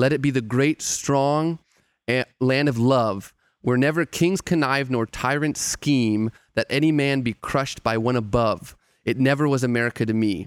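A man's ordinary speaking voice at medium pitch, with ordinary pitch variation, a moderate pace and very even loudness, in a dry, close recording with no echo, very clean and silent behind him. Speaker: theologian and hip-hop writer. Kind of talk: casual chat.

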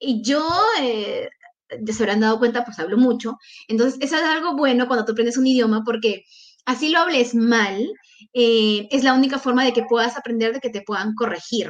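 A woman with a Peruvian accent speaks at a moderate pace and a high pitch, with ordinary pitch variation. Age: 20s. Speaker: scholarship recipient, master's student. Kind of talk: interview. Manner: talkative.

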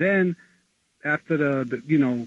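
At a fairly slow pace, a man with a fairly high pitch speaks with ordinary pitch variation in a dry, close sound with no echo.

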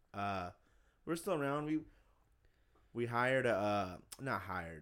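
In an animated tone, a man speaks at a fairly quick pace with ordinary pitch variation. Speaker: podcast host. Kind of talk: casual chat. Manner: loud.

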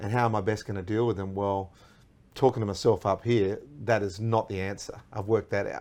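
A man's fairly low, monotone, flat voice at a fairly quick pace, with an Australian accent. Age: 40s. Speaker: radio host. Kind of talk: casual chat. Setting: studio.

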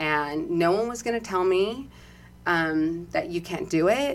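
Here is a woman with a fairly low pitch. She has an unremarkable speaking voice. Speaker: deputy sheriff and former plus-size model. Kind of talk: casual interview.

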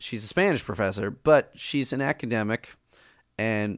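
A man speaks in an ordinary speaking voice at a moderate pace and medium pitch, with ordinary pitch variation and a dry, close sound with no echo. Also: very clean recording, silent background. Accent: American. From Chicago. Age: 30s. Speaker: music teacher and podcaster. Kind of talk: casual chat.

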